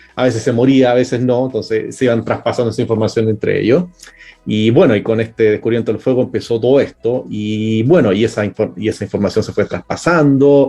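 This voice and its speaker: Music plays in the background as a man at a medium pitch talks at a fairly quick pace. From Chile. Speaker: cook and science communicator. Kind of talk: interview.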